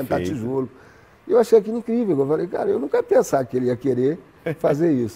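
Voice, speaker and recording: In a Minas Gerais accent, the speech runs at a very fast pace with very wide pitch swings and long, frequent pauses, set against noticeable background noise. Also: man, fairly high pitch for a man. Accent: Brazilian Portuguese, Minas Gerais. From Belo Horizonte, Brazil. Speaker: actor. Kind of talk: interview answer.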